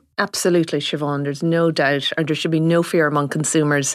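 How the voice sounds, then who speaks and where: In an Irish accent, a woman with a very deep, low pitch speaks at a fairly quick pace with fairly even intonation. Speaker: farming journalist. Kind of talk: radio-style panel discussion.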